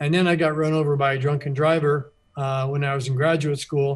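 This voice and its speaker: In a quiet background, a man with an American accent speaks fairly quickly in a fairly high, somewhat breathy voice. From Florida Keys. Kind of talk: radio interview.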